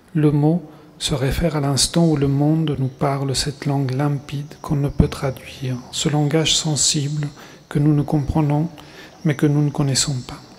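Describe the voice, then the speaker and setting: A man's fairly high, monotone, flat voice at a fairly slow pace. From Argentina, Buenos Aires. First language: Spanish (speaking French). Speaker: writer. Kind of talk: reading aloud. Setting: stage with audience.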